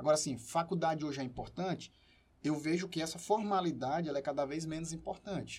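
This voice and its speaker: A man's voice, high in pitch. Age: 30s. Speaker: entrepreneur and professor. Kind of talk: casual chat.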